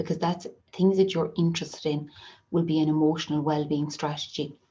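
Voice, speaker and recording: A woman with an Irish accent, very deep and low in pitch, somewhat breathy, dark and mellow in tone, flat and monotone in intonation, at a moderate pace against a quiet background. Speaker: occupational therapist. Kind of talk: online webinar presentation. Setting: video call with screen sharing.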